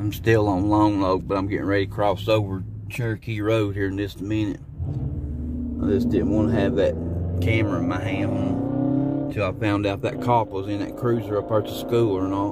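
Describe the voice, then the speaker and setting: The speech moves at a moderate pace. The sound is dry with no echo, and music plays in the background. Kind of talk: casual vlog chat. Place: car. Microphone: phone near.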